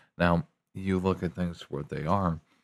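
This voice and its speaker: Very deep, low male voice in flat, monotone intonation, on a very clean recording with a silent background. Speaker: commentator. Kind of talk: casual rant. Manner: slow, drawn-out.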